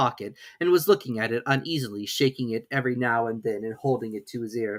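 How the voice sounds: This woman speaks at a fairly quick pace in an extremely low pitch, with ordinary pitch variation.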